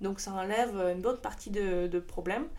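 A woman speaks in a Russian accent at a moderate pace. Her voice has vocal fry. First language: Russian (speaking French). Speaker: startup co-founder. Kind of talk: interview. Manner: halting.

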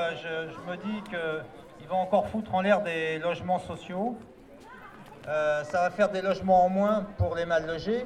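A man's voice sits high in pitch, its intonation fairly even, while noticeable background noise carries on around it. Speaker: housing rights activist. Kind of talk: public speech. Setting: outdoors. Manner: halting.

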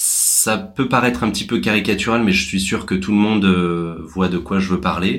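Speaking at a moderate pace with hardly any pauses, a man talks in a fairly low pitch with ordinary pitch variation. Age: 30s. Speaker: social entrepreneur. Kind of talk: interview. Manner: halting.

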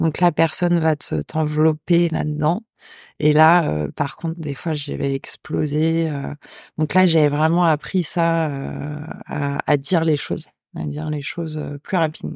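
On a very clean recording with a silent background and a dry, close sound with no echo, a woman speaks at a fairly slow pace. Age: 40s. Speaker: head chef. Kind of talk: testimony. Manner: hesitant.

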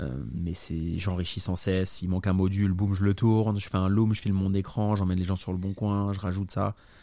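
Speaking at a moderate pace, a man has a very deep, low pitch and a dark, mellow tone. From Burgundy, France. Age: 30s. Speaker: real estate investor. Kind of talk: casual interview. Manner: animated.

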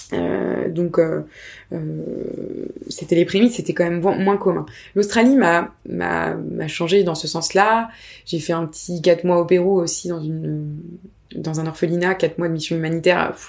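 A woman with a fairly low pitch has an ordinary speaking voice and fairly even intonation. She talks at a fairly slow pace in a very clean recording with a silent background. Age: 30s. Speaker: freelancer, founder of a freelancer collective. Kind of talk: casual interview.

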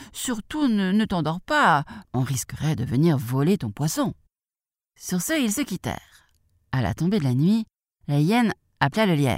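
A woman with a gentle, warm tone swings her pitch very widely, leaving long, frequent pauses. The sound is dry and close with no echo, on a very clean recording with a silent background. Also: fairly low pitch for a woman, fairly slow pace. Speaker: audiobook narrator. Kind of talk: bedtime story reading aloud to children. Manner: animated, expressive, playing the characters with different voices; gentle, warm, storyteller pacing.

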